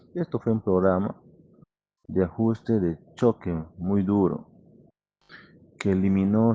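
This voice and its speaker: A man speaks very slowly with fairly even intonation. His fairly low-pitched voice has a dark, mellow tone. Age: 60s. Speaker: electrical engineer. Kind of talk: interview.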